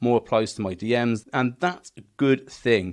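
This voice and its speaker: Against a quiet background, the man talks in a British accent. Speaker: business coach for gym owners. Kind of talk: tutorial. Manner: fast.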